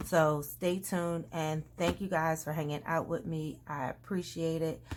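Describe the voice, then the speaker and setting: Talking at a fairly slow pace, a woman with a normal speaking voice keeps her fairly low pitch on fairly even intonation. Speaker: planner youtuber. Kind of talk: tutorial. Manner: casual.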